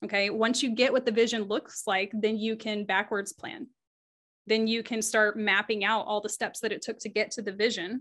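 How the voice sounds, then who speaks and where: Here is a woman with a normal speaking voice and fairly high pitch. Her pace is moderate and her intonation fairly even. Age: 30s. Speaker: group engagement strategist. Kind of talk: interview.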